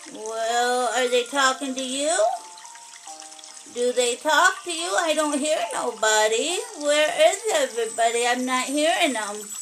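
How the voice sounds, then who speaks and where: Over clear background noise, a woman uses a cartoonish character voice, high-pitched and at a fairly slow pace. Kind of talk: children's puppet show. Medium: puppet show. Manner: gruff, grumbling.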